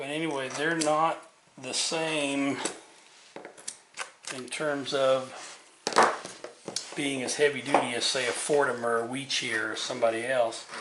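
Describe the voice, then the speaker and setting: Against noticeable background noise and audible room echo, a man speaks slowly-ish at a fairly slow pace, medium in pitch, his intonation monotone and flat. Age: 60s. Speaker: woodcarving instructor. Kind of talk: tutorial. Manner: casual, repeats words.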